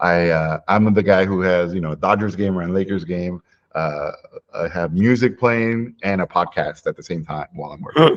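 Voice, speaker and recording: At a moderate pace, a man with a very deep, low pitch talks with ordinary pitch variation and big swings in loudness. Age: 40s. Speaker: animation filmmaker. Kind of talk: interview conversation.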